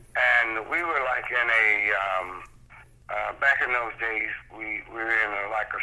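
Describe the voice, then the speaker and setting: A man speaks at a fairly slow pace with an American accent. Noticeable background noise runs underneath. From Cleveland, Ohio. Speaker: sacred steel guitarist. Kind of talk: interview. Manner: halting; animated.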